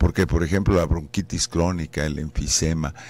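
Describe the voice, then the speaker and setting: A man speaks with a very deep, low pitch. His pace is moderate and the sound is dry with no echo. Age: 60s. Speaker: anesthesiologist, professor. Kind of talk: radio interview, explaining. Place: studio. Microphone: studio mic.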